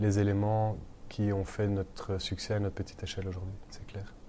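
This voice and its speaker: Monotone and flat, a man speaks at a moderate pace with a fairly low pitch and a dark, mellow tone. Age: 30s. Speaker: restaurant founder. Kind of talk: interview. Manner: hesitant.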